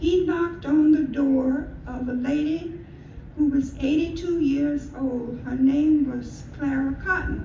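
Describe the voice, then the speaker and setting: Speaking at a very slow pace, a woman with a high pitch and fairly even intonation is heard over noticeable background noise, with audible room echo. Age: 90s. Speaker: retired school media specialist and storyteller. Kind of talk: storytelling talk at a community event. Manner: halting, with fillers and repeats.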